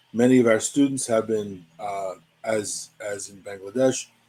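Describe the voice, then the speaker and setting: Dark and mellow in tone, this voice has an American accent and moves at a fairly slow pace. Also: man. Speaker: physicist, science educator. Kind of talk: lecture. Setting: online webinar.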